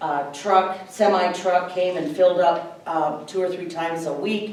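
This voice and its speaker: Speaking at a medium pitch with an American accent, a woman is heard with audible room echo and noticeable background noise. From Minnesota, US Midwest. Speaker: local food grower and market vendor. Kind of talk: workshop talk. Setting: workshop room with audience, no microphone. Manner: loud.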